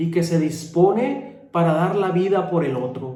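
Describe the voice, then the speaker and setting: This man's tone is dark and mellow. He speaks at a very slow pace. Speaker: friar preacher. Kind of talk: homily.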